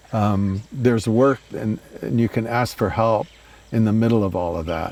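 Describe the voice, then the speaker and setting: Noticeable background noise behind a man's fairly low voice, moderate in pace and ordinary in pitch variation. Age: 80s+. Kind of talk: interview answer. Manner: hesitant, reflective.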